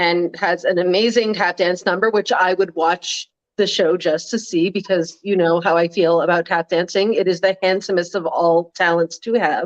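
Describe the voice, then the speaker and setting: An unremarkable speaking voice at a moderate pace, with hardly any pauses and fairly even intonation. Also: woman, fairly low pitch for a woman. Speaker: political blogger. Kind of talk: casual chat. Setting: live stream.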